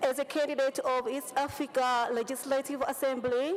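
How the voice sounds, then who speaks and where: High-pitched speech from a woman, with background noise clearly audible. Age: 30s. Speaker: parliamentary candidate. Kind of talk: campaign speech. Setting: parliament chamber.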